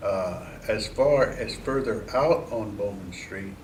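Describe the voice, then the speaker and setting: This man has a Midwestern American accent and a medium pitch. Background noise is noticeable. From Mansfield, Ohio. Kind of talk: oral history interview answer.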